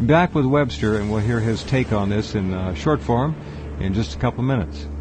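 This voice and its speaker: Amid noticeable background noise, a man with fairly low pitch and very wide pitch swings speaks at a moderate pace. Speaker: radio talk show host. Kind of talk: radio talk show hosting.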